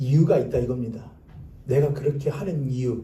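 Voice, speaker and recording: Somewhat breathy and dark, mellow in tone, a man's voice comes through with audible room echo. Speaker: pastor. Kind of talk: sermon. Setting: church.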